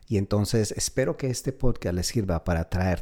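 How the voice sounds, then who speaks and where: The tone is dark and mellow, the pace fairly quick, with ordinary pitch variation on a very clean recording with a silent background. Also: man. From Colombia. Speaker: podcast host, real estate and finance. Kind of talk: podcast monologue. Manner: halting, with repeated words.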